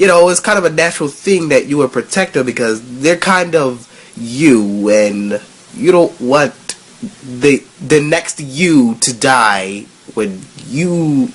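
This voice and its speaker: Delivery is very slow, with noticeable background noise throughout. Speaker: anime reviewer. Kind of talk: casual talk to camera. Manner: casual, rambling.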